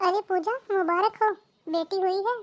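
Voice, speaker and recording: In a cartoonish character voice, a woman squeaks at an extremely high pitch. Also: moderate pace, fairly even intonation, dry, close sound with no echo. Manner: reasoning, warm.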